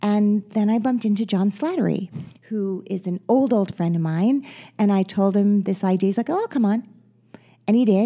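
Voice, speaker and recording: With an American accent, this woman's voice sits at a medium pitch and carries a dark, mellow tone. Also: ordinary pitch variation, moderate pace. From New Jersey, Teaneck. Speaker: actress and podcast host. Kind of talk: interview.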